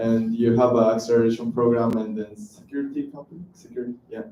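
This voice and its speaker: Speaking with a Japanese accent, a man keeps a fairly quick pace, medium pitch and fairly even intonation. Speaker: audience member. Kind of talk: audience question. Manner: halting, hesitant.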